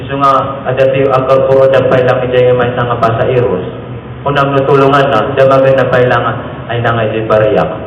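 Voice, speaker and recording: Speaking fairly quickly, a man of medium pitch keeps a monotone, flat intonation. Noticeable background noise can be heard. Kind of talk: humorous homily.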